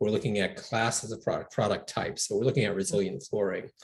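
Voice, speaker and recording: A somewhat breathy man talks at a fairly quick pace and a fairly low pitch. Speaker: environmental nonprofit founder. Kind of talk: interview. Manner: soft-spoken.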